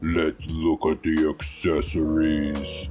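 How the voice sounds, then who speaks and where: A put-on character voice from a man, very deep and low, monotone and flat, at a very slow pace over clear music in the background. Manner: cheesy, old cartoon style.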